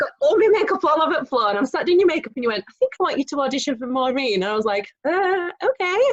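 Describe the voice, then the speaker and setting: A loud, high-pitched woman at a very fast pace with hardly any pauses and very wide pitch swings, in a dry, close sound with no echo. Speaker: amateur theatre actress. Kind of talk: casual chat.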